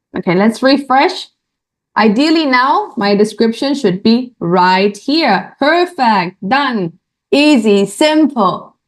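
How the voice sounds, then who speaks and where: A woman speaks very slowly at a high pitch, her pitch swinging very widely while her loudness stays very even. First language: not English. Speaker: online course instructor. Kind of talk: tutorial. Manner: repetitive, frequent fillers like okay.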